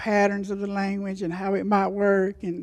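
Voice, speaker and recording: A dark, mellow voice speaks at a fairly slow pace on a very clean recording with a silent background. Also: woman. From western North Carolina, USA. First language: Cherokee. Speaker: Cherokee language teacher. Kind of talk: conference panel talk.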